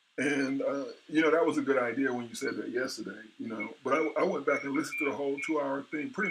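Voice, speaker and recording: With noticeable background noise behind him, a man with a fairly high pitch talks at a very fast pace with hardly any pauses. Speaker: forex and index trader streaming live. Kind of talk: live trading stream chat. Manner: casual, repetitive with many fillers.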